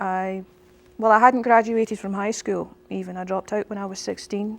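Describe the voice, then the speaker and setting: In a Scottish accent, a woman speaks at a medium pitch with monotone, flat intonation. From Scotland, Irvine (Ayrshire). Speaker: pastor. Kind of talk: interview. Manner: halting, with frequent fillers.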